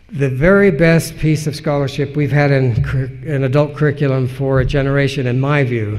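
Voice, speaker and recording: A man talks at a medium pitch in a somewhat breathy voice. His intonation stays fairly even, and room echo can be heard. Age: 60s. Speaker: historian and editor. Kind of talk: conference lecture Q&A. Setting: conference lecture.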